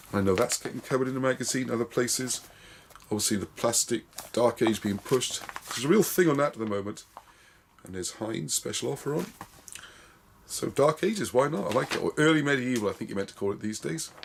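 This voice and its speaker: The speech runs at a very fast pace yet breaks into long, frequent pauses. Noticeable background noise sits behind it. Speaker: wargaming magazine reviewer. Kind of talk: casual video review.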